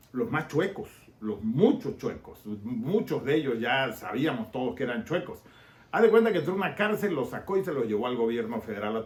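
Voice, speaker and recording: With a Tabasco accent, a man talks at a fairly quick pace, his somewhat breathy voice swinging very widely in pitch. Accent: Tabasco Mexican. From Mexico, Tabasco (Villahermosa). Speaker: political commentator and YouTuber. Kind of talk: casual political podcast monologue.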